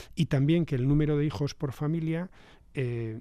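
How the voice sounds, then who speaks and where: Here a man talks with a dark, mellow tone at a fairly high pitch. His pitch variation is ordinary. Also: very clean recording, silent background. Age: 60s. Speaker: government official. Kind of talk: radio interview. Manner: halting, many fillers.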